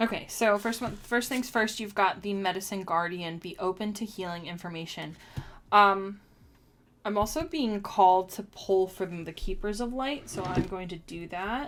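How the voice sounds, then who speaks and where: With an ordinary speaking voice, a woman at medium pitch talks at a moderate pace with ordinary pitch variation and big swings in loudness, on a very clean recording with a silent background. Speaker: tarot and oracle card reader. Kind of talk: live-streamed oracle card reading. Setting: live stream. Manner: casual, chatty with many fillers.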